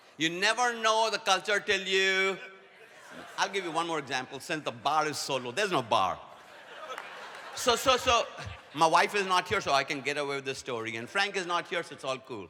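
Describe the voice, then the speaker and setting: Over noticeable background noise, a man speaks fairly quickly in a high pitch with lively intonation. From India. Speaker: leadership speaker. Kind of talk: conference talk. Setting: stage with audience.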